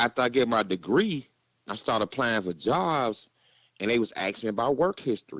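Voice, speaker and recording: A man with an American accent, medium pitch and lively intonation at a moderate pace, in a very clean recording with a silent background and a dry, close sound with no echo. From Gary, Indiana (US Midwest). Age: 40s. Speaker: former prisoner, warehouse worker. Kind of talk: casual podcast interview, life story. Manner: laid back, casual.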